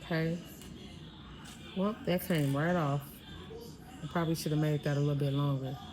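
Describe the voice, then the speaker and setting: Audible room echo surrounds a woman speaking at a very deep, low pitch with fairly even intonation. She leaves long, frequent pauses. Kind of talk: tutorial. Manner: casual, conversational.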